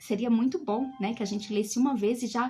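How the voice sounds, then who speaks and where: This woman talks at a fairly quick pace, with a dark, mellow tone and a fairly high pitch. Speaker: bible teacher. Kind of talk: live online bible study.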